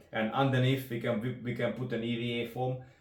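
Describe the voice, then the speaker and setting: There is audible room echo around a man speaking at medium pitch. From Hungary. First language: Hungarian. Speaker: rod builder. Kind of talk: product demonstration. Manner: halting.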